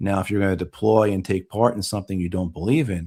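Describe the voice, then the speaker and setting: In a very clean recording with a silent background, a man with a normal speaking voice talks at a fairly low pitch with fairly even intonation. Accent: American. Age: 50s. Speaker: war veteran. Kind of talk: interview.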